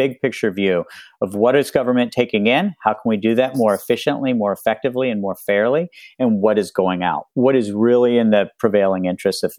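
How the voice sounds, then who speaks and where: With an American accent, a man speaks in a plain, everyday voice at a medium pitch and fairly quick pace, with ordinary pitch variation. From US South, West Virginia. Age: 50s. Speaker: author and professor. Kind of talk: casual chat.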